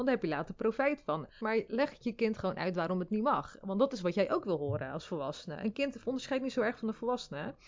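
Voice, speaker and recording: A woman with a fairly high pitch and vocal fry, very wide pitch swings, a very fast pace, and hardly any pauses. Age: 30s. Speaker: mother and social media personality. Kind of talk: casual interview. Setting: in person in Rotterdam.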